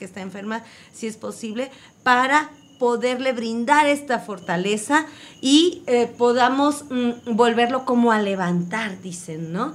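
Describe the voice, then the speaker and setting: A woman with an unremarkable speaking voice talks at a fairly slow pace, her pitch fairly high and its variation ordinary. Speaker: community radio co-host. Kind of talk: radio magazine conversation.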